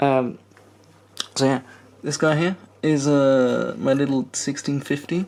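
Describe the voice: A man's medium-pitched voice with a slightly mellow tone, ordinary pitch variation and vocal fry.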